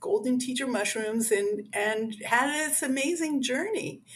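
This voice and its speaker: A woman talks at a fairly slow pace with lively intonation. Hers is a normal speaking voice. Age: 60s. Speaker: author. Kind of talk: interview. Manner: conversational with many fillers.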